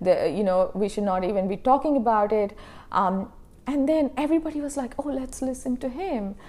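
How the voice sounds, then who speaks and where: A woman's high, dark, mellow voice with a non-native accent, at a fairly quick pace. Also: lively intonation. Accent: foreign-accented English. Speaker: professor and researcher. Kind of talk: interview conversation.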